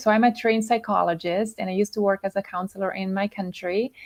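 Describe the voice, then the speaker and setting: The intonation of this woman is fairly even. Her voice sits at a medium pitch. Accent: Swiss Italian. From Italian-speaking Switzerland. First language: Italian. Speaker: health and emotional coach. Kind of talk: interview. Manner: halting, many fillers.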